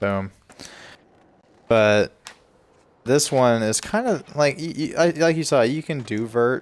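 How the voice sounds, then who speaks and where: Speaking very slowly with long, frequent pauses, a man uses a fairly high voice. His tone is relaxed and his intonation lively. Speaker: gaming streamer. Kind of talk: casual gameplay commentary. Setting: livestream. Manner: stuttering.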